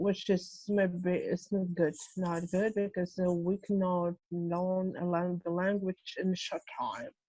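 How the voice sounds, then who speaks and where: Speaking at a very slow pace in a Russian accent, a woman has a dark, mellow tone. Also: dry, close sound with no echo. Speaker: translator. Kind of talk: casual chat. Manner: halting.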